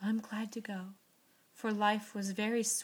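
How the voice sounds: The speaker reads. It is a natural reading voice.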